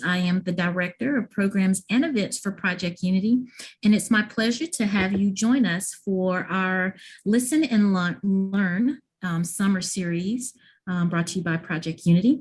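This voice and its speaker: On a very clean recording with a silent background, a woman speaks in a somewhat breathy voice with ordinary pitch variation. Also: medium pitch for a woman, moderate pace. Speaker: event program director. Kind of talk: event introduction.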